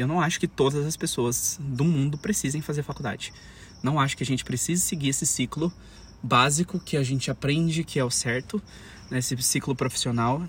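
A man's fairly high-pitched, somewhat breathy voice at a fairly quick pace, with ordinary pitch variation. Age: 20s. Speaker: podcaster. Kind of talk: solo podcast monologue. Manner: hesitant, many fillers.

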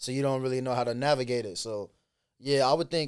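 This man speaks with a Chicago urban accent at a medium pitch, his intonation fairly even. The recording is very clean, with a silent background. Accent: Chicago urban American English. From Chicago west side, US Midwest. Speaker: rapper and actor. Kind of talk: casual interview chat. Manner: fast talker, casual.

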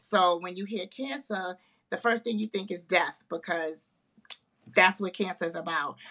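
At a moderate pace, a woman with a New York accent speaks at a medium pitch with ordinary pitch variation and a bright, sharp tone. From Harlem, New York. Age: 50s. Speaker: author and breast cancer survivor. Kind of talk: casual interview.

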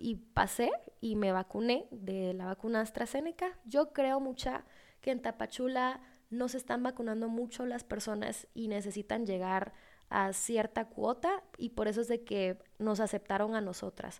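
A plain, everyday voice speaks at a fairly slow pace. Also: woman, fairly high pitch for a woman, ordinary pitch variation. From Guatemala. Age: 20s. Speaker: podcast host. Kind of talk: casual monologue.

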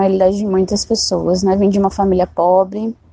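A woman's dark, mellow voice at a medium pitch, delivered in a flat monotone. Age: 20s. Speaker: city council candidate. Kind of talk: interview.

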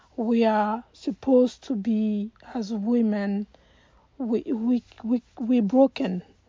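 Very slowly and somewhat breathily, a woman speaks at a fairly high pitch with fairly even intonation. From Côte d'Ivoire. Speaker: life coach. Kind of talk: motivational talk.

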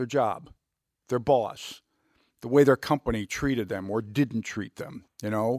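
A man with a plain, everyday voice speaks fairly slowly at medium pitch, with ordinary pitch variation. The sound is dry and close with no echo, on a very clean recording with a silent background. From Youngstown, Ohio. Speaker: corporate executive. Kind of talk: interview. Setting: studio.

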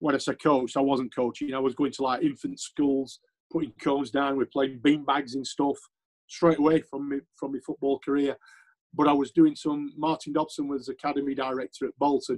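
A man with a Sheffield accent talks fairly quickly in a fairly high, monotone, flat voice. The sound is dry and close, with no echo. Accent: Yorkshire (Sheffield) English. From Yorkshire, Sheffield. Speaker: former footballer and scout. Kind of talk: interview.

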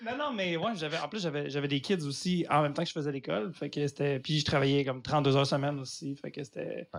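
Barely pausing at all, a man talks at a very fast pace, his fairly high pitch showing ordinary variation. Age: 30s. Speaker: comedian. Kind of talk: casual chat. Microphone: poor recording audio.

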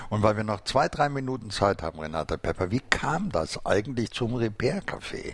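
At a moderate pace and with hardly any pauses, a man uses an ordinary speaking voice at a medium pitch with lively intonation. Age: 60s. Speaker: podcast host. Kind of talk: casual interview. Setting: studio.

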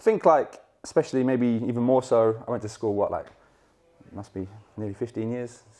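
A man with a southern English accent speaks at medium pitch in a dark, mellow tone. His pace is fairly quick, yet he leaves long, frequent pauses. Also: ordinary pitch variation, big swings in loudness. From southern England, Hertfordshire. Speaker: football brand ambassador. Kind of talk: casual interview.

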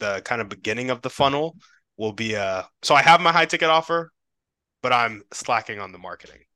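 On a very clean recording with a silent background, a man with an unremarkable speaking voice talks at a medium pitch with lively intonation. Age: 20s. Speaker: podcast host and coach. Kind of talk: casual interview.

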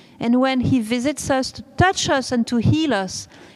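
A woman speaks at a fairly slow pace with ordinary pitch variation against noticeable background noise. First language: not English. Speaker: preacher at a religious retreat. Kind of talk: sermon. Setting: church.

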